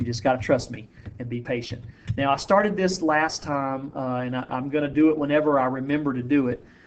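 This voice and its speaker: The delivery moves at a fairly quick pace with ordinary pitch variation. Audible room echo surrounds the voice. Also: man. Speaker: high school biology teacher. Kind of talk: lecture. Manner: casual.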